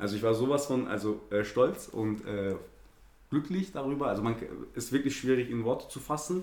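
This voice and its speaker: Audible room echo around a man's voice, its pitch varying in an ordinary way. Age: 30s. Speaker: amateur footballer. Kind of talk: casual interview. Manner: hesitant, many fillers.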